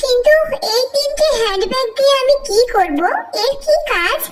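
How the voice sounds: A woman does a cartoonish character voice, squeaky and extremely high. Her intonation is lively and her pace moderate.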